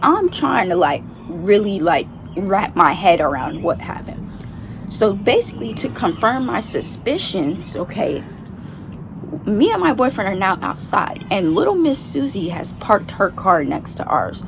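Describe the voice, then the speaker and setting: Speaking at a fairly slow pace over noticeable background noise, a woman with a medium-pitched voice sounds animated, her pitch swinging very widely. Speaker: vlogger. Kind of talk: storytime.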